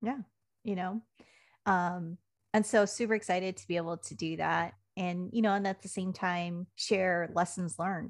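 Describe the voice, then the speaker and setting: In an American accent, a woman talks at a moderate pace in a normal speaking voice of medium pitch, with fairly even intonation, big swings in loudness, and a very clean recording with a silent background. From Washington State (Puyallup). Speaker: communications consultant and army veteran. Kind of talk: podcast interview.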